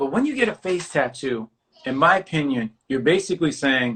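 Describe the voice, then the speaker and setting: Talking in an animated tone with a New York accent, a man keeps a moderate pace at a fairly high pitch. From New York City. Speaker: artist and talk show host. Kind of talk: casual interview chat.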